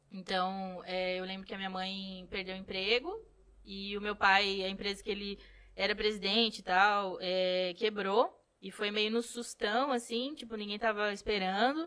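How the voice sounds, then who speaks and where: A woman's bright, sharp tone at medium pitch, fairly slow in pace, with fairly even intonation. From Rio Grande do Sul, São Borja (western border). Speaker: photographer. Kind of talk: casual chat.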